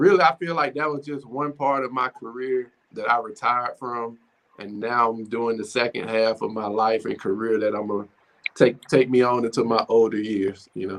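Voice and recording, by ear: At a moderate pace, a man talks in a fairly bright tone at medium pitch with fairly even intonation.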